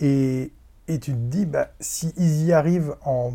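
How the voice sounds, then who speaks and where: A man with a fairly high pitch speaks in a dark, mellow, somewhat breathy tone with ordinary pitch variation. The recording is very clean, the background silent. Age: 30s. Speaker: podcast guest. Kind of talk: casual chat.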